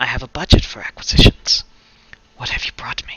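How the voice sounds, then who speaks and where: Using a put-on character voice, a man whispers breathily at a fairly quick pace. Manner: whispering.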